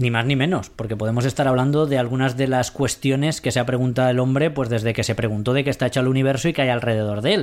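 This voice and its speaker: A man speaks at a very fast pace with hardly any pauses, his pitch medium. His intonation is fairly even and his loudness very even. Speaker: science radio host. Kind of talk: casual chat.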